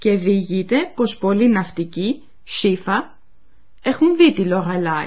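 A woman speaks at a very slow pace in a somewhat breathy voice. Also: medium pitch for a woman, lively intonation. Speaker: language course presenter. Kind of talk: radio language lesson narration. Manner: formal.

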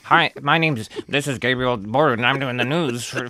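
This is a put-on character voice with a nasal sound. It moves at a moderate pace with ordinary pitch variation. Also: man, medium pitch for a man. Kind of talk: formal broadcast.

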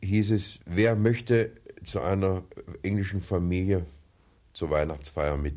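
A very slow, very deep, low man's voice with a dark, mellow tone and ordinary pitch variation, on a very clean recording with a silent background. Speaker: war veteran. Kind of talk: interview testimony. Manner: hesitant with filler sounds.

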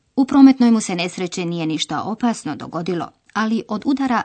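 A woman's fairly high, somewhat breathy voice with lively intonation at a moderate pace. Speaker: language course presenter. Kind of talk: language lesson narration. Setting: studio. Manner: formal.

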